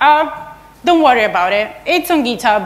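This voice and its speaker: Lively intonation runs through a woman's speech. Her pace is moderate. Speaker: conference speaker. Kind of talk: lecture. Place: hall.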